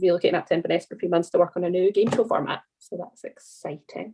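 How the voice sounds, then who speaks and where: A woman speaks with a Scottish accent. Her voice is fairly low in pitch. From Scotland. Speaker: documentary TV researcher, training alumna. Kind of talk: video call panel Q&A.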